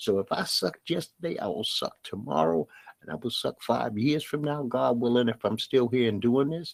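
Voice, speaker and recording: Recorded with a dry, close sound and no echo, a man with an American accent talks at a moderate pace using lively intonation. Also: medium pitch for a man. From Brooklyn, New York. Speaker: podcast host. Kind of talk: podcast monologue. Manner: plain, no put-on inflection.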